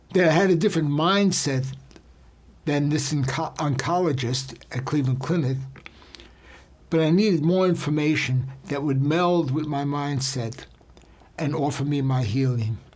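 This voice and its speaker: With long, frequent pauses, a man speaks at a moderate pace in a fairly high voice with ordinary pitch variation and audible room echo. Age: 70s. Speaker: health and wellness speaker. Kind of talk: personal testimony. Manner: intimate.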